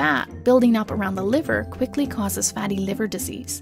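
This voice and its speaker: Fairly quick speech over music in the background. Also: woman. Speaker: voice-over narrator. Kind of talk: animated explainer narration.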